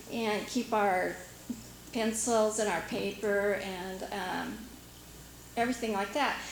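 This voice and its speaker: Very slow speech with long, frequent pauses comes in a Pacific Northwest accent, with noticeable background noise and audible room echo. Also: woman, medium pitch for a woman. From US Pacific Northwest, Washington island. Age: 50s. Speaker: local resident sharing memories. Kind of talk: casual reminiscence at community meeting. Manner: hesitant, many fillers.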